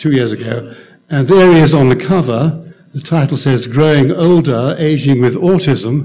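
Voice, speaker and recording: A man at medium pitch with an English accent, ordinary pitch variation, a moderate pace and audible room echo. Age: 80s+. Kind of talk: conference talk.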